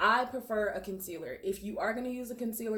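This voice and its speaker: Noticeable noise runs in the background, and the room's echo can be heard. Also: woman. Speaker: makeup artist. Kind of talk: tutorial. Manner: fast; casual, filler-heavy.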